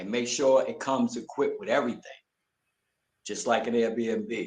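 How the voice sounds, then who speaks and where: The speaker talks at a moderate pace with a New York accent. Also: man. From Brooklyn, New York. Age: 60s. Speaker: retired military veteran. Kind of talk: interview.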